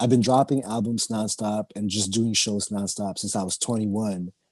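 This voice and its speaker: A man speaks at a moderate pace with hardly any pauses. His voice is fairly low. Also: dry, close sound with no echo. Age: 30s. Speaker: underground rapper. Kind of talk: casual interview chat. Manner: animated.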